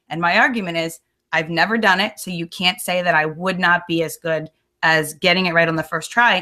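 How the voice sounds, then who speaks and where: Bright and sharp in tone, a woman's fairly low voice moves at a moderate pace. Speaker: reality show contestant. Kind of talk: casual chat.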